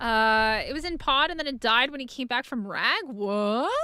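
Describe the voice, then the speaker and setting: A woman projects a raised voice at a fairly slow pace, her pitch swinging very widely. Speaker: gaming streamer. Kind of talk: live gameplay stream chat. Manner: casual, rambling with fillers.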